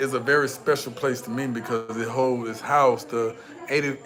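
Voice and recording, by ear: Over background music, a man with an American accent talks at a moderate pace in a fairly high pitch.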